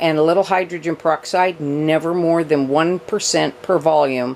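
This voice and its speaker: A woman speaks in a normal speaking voice at a fairly low pitch, keeping a fairly slow pace and fairly even intonation. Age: 60s. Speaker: houseplant youtuber. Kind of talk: casual tutorial. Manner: chatty, conversational.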